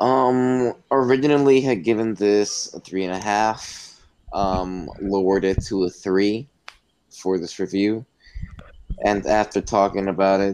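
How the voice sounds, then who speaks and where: A man talks fairly slowly in a plain, everyday voice. His fairly low pitch shows ordinary pitch variation. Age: 20s. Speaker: podcast co-host, student. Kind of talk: casual chat.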